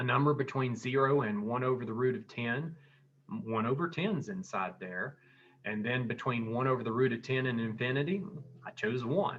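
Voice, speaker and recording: A man with a plain, everyday voice speaks at medium pitch. His pace is moderate and his intonation lively. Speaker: math teacher. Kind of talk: tutorial. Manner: conversational, thinking aloud with fillers.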